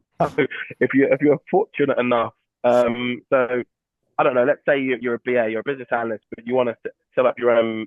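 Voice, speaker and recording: The speaker talks at a very fast pace with a British accent. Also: man. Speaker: entrepreneur and recruitment expert, former footballer. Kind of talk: webinar Q&A interview. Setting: online webinar.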